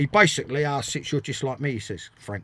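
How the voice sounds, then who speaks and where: A somewhat breathy man's voice at a fairly high pitch, on a very clean recording with a silent background. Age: 60s. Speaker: former footballer and manager. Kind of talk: interview. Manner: animated; repetitive, stumbling.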